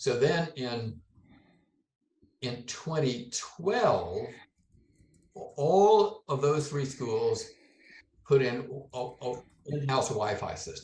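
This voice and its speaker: A man's fairly high, somewhat breathy voice at a very slow pace, with lively intonation and long, frequent pauses. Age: 70s. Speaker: retired software developer. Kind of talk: interview answer.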